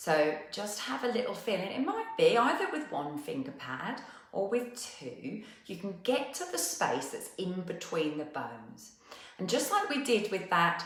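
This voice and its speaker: A woman with a South East London accent speaks at a fairly slow pace in a gentle, calm tone, with audible room echo and noticeable background noise. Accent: South East London twang. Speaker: movement and wellness teacher. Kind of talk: guided movement class. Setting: live online session.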